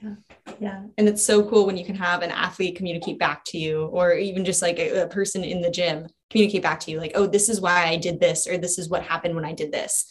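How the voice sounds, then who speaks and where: At a very fast pace, a woman speaks at medium pitch, somewhat breathy, with fairly even intonation. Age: 20s. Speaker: coach, nonprofit staff. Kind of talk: casual interview.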